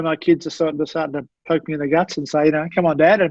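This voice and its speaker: This man talks very fast in a high pitch. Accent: Australian. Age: 60s. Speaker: sports doctor. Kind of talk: podcast interview. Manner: halting.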